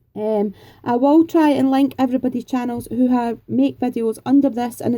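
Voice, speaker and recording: A woman's high voice with a dark, mellow tone, fairly even intonation and a Scottish accent. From Scotland, Edinburgh. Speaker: craft YouTuber. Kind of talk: Q&A vlog, casual chat.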